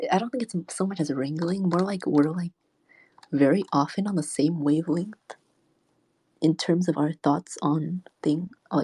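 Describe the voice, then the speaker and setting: Very slowly, a nervous woman speaks in a fairly low pitch with ordinary pitch variation, sounding somewhat breathy. Her tone is dark and mellow, and the sound is dry and close with no echo. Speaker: livestreamer. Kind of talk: casual livestream chat reading comments. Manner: sounds nervous.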